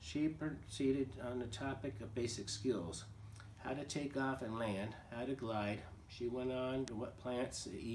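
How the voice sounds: Natural reading voice, nothing more.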